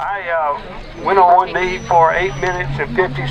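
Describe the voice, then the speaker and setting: A high-pitched male voice in an American accent, at a fairly slow pace with fairly even intonation, over noticeable background noise. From Texas. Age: 70s. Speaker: protest speaker. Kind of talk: public speech at a rally.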